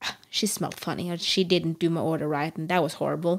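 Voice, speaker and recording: A woman speaks at a moderate pace with a Norwegian accent. Her pitch is fairly low. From Norway. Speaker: podcast co-host. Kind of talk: casual chat.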